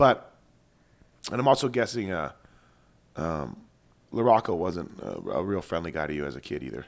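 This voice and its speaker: A man speaks with a very deep, low pitch and vocal fry, pausing long and often. His voice shows very wide pitch swings and big swings in loudness. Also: moderate pace. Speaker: motocross podcast host, former mechanic. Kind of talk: casual race commentary.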